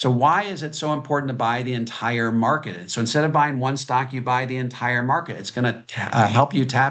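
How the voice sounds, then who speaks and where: Against a quiet background, a man speaks at a fairly quick pace and medium pitch, with ordinary pitch variation. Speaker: financial author. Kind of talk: presentation. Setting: video call. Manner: fast.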